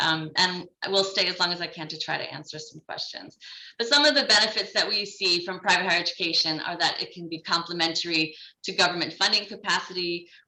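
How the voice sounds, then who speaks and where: Speaking at a very fast pace, a woman with a fairly low pitch and ordinary pitch variation shows big swings in loudness, with audible room echo around her. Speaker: development bank education specialist. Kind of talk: conference presentation.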